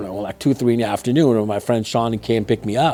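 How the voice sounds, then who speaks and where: A man with a slight Persian accent speaks in a medium pitch with fairly even intonation. Music plays in the background. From Iran, Tehran. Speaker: martial arts businessman. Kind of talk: interview storytelling. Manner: halting, with many fillers.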